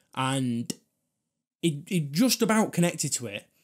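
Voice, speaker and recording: A man with a Manchester accent speaks in an animated tone at a fairly high pitch, against a quiet background. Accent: Greater Manchester English. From northern England. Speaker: vlogger and comedian. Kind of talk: angry rant about buses, sarcastic and swearing, mock-outraged. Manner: animated, ranting, sarcastic; rambling, self-interrupting. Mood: annoyed, ranting, swearing. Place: home room. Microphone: studio mic.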